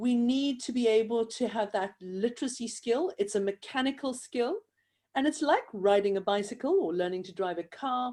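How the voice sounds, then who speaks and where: A woman with a South African accent speaks at a fairly high pitch in a dark, mellow tone with lively intonation, on a very clean recording with a silent background. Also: moderate pace. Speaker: event host, handwriting educator. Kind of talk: interview conversation.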